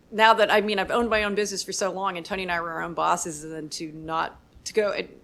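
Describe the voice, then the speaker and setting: In a very clean recording with a silent background, a woman with an American accent speaks very fast at a medium pitch, her intonation fairly even while her loudness swings widely. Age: 60s. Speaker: bar owner. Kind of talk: interview.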